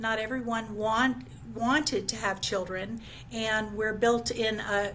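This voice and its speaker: Speaking fairly slowly, a woman with an American accent shows vocal fry. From Florida. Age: 50s. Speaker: certified senior advisor. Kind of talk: podcast interview. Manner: halting, many fillers.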